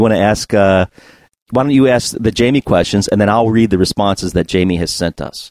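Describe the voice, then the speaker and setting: An ordinary speaking voice from a man with an American accent, fairly low pitch, ordinary pitch variation, and fairly quick pace, in a dry, close sound with no echo and a very clean recording over a silent background. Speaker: podcast host. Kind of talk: casual chat.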